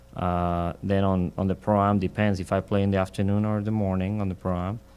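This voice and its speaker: Speaking fairly quickly with a Mexican accent, a man keeps a fairly low pitch and a monotone, flat intonation. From Mexico. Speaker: professional golfer. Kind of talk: interview. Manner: halting.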